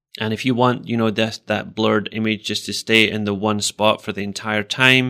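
The voice has a bright, sharp tone and moves at a moderate pace. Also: man. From Scotland. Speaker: podcast co-host and education technology specialist. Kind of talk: casual chat podcast.

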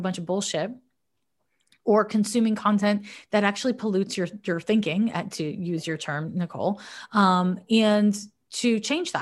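Here a woman speaks at a moderate pace and a medium pitch. Her voice is somewhat breathy, with a quiet background. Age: 40s. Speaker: psychic astrologer. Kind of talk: casual advice chat. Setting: remote call from her office.

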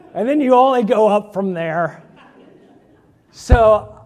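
In a very clean recording with a silent background, a man with a Midwestern American accent speaks with very wide pitch swings. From Indiana, US Midwest. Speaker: pastor candidate. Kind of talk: sermon.

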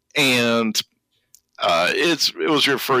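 A man's voice, dry and close with no echo. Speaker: podcast host. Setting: headset mic, remote recording.

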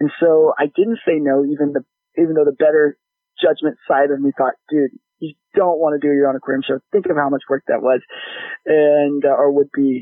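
A man with an American accent speaks in a plain, everyday voice, fairly high in pitch. His pace is fairly quick and his intonation fairly even. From Texas. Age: 30s. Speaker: aquarium brand manager. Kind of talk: casual interview.

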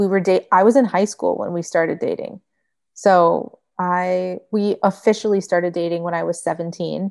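A woman with an American accent uses a plain, everyday voice at a medium pitch, speaking at a moderate pace with fairly even intonation over a quiet background. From Michigan. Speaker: vegan food blogger. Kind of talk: casual chat.

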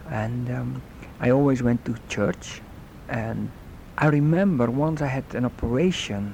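A man speaks at a medium pitch with a Dutch accent and ordinary pitch variation. His pace is fairly slow, and there is noticeable background noise. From Netherlands. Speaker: guest sharing faith story. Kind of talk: testimony.

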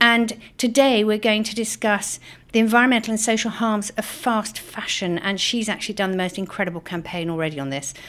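A woman with a British accent talks at a fairly quick pace, her pitch fairly high with ordinary variation. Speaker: politician and podcast host. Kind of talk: interview.

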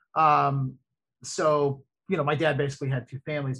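Somewhat breathy, a man speaks at a fairly high pitch and a fairly quick pace. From Florida (Ocala). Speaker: broadcast journalist, podcast co-host, single dad. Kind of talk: casual chat. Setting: home, remote call.

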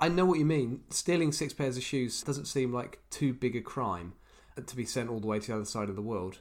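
With lively intonation and a medium pitch, a man talks at a fairly quick pace in an unremarkable speaking voice. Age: 30s. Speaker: podcast co-host. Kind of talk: casual chat, storytelling.

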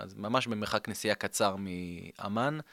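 A man talks with a fairly low pitch and a bright, sharp tone. The recording is very clean with a silent background. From Israel. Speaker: tour company owner. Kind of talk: interview. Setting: studio.

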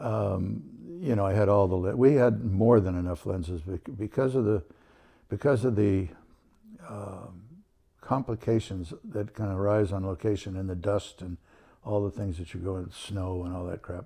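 Speaking with a General American accent, a man has a fairly low, dark, mellow tone that is somewhat breathy, with ordinary pitch variation at a moderate pace. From Southern California. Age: 80s+. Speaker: photographer. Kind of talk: interview.

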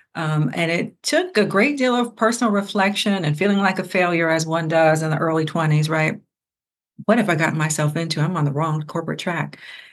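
A woman with an American accent talks at a fairly quick pace in an unremarkable speaking voice. Her pitch is fairly low, with ordinary variation. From Ohio, US Midwest. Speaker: religion scholar and entrepreneur. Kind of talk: interview conversation.

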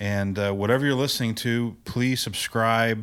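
Heard on a very clean recording with a silent background, a man with an ordinary speaking voice talks at a moderate pace with fairly even intonation. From US Midwest, Indiana. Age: 40s. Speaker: podcast co-host. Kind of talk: casual chat.

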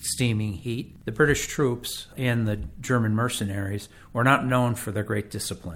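Speaking with an American accent, a man uses a fairly low, somewhat breathy voice with fairly even intonation at a moderate pace. The recording is very clean, with a silent background. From Connecticut, West Haven. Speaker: local historian and author. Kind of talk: interview.

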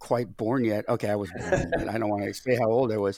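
At a fairly quick pace, a man speaks in an ordinary speaking voice with medium pitch. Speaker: baseball podcast co-host. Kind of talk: casual chat. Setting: studio. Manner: jokey.

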